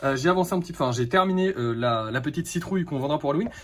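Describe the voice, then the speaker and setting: A man with lively intonation over noticeable background noise. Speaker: vlogger and craft maker. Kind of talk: casual vlog. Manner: soft-spoken.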